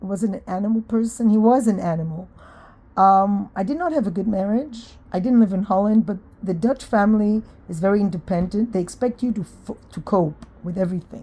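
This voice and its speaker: Breathing somewhat into her words, a woman speaks fairly quickly at a medium pitch, with a dark, mellow tone and ordinary pitch variation. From Israel. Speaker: vlogger. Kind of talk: casual monologue. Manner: hesitant, with fillers.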